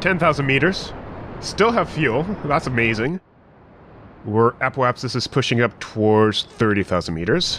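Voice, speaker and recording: A man talks at a moderate pace with very even loudness, leaving long, frequent pauses. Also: medium pitch for a man, lively intonation. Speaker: gaming video host. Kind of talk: gameplay commentary. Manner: casual.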